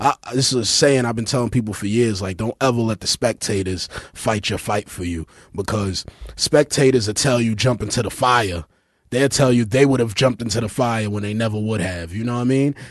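Fairly quick and medium in pitch, a man speaks with a Brooklyn accent in a dry, close sound with no echo. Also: ordinary pitch variation. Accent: Brooklyn New York. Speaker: podcast host. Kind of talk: casual banter, comedic. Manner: joking, irreverent.

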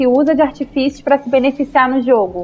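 In a Carioca accent, a woman talks with a high-pitched voice. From Rio de Janeiro, Zona Norte. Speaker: podcast panelist. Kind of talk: casual chat.

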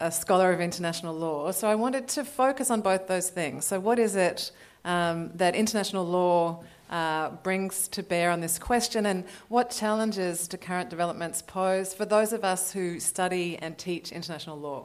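An ordinary speaking voice from a woman, medium in pitch, moderate in pace, with ordinary pitch variation. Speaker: law professor. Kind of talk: panel discussion. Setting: stage with audience.

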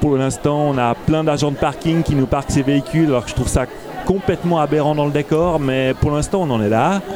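A fairly high-pitched male voice at a fairly quick pace, over noticeable background noise. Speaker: festival organizer. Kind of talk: casual interview. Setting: festival with crowd noise.

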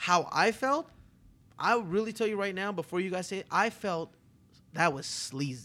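A man's high-pitched, raised, projected voice with lively intonation and an animated tone. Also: moderate pace, very clean recording, silent background. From Toronto, Canada. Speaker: restaurateur, podcast co-host. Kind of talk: casual chat. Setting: hotel room, live recording.

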